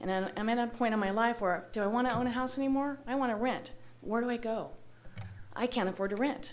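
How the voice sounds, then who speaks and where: A woman with an American accent and ordinary pitch variation, in a room with audible echo. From Los Angeles area, California. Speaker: local business owner, public commenter. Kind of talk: public comment at city meeting. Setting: public meeting hall. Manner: loud.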